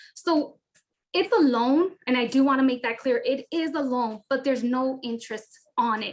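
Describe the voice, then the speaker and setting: A woman's high-pitched voice with ordinary pitch variation. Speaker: housing counselor. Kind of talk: presentation. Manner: fast.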